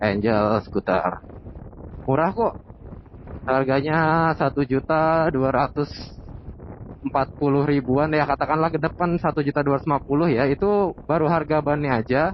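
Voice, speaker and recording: A man talks in a fairly high pitch with very even loudness. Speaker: motovlogger. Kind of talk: casual vlog while riding. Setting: riding motorcycle outdoors.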